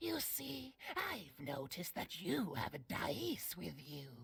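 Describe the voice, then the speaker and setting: A man's put-on character voice, fairly high-pitched and fairly slow, with ordinary pitch variation. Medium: video game. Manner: cryptic, sly, measured.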